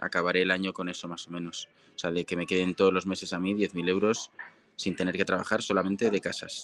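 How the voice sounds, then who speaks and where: Rattling along at a very fast pace, a man speaks in a very deep, low voice with monotone, flat intonation. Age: 30s. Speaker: marketing agency founder. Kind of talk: interview. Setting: live stream.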